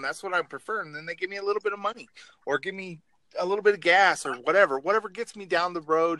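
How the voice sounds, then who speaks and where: A man with an American accent talks at a very fast pace in a raised, projected voice. His pitch is high, with a bright, sharp tone. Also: dry, close sound with no echo. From Oregon, US. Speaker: truck driver.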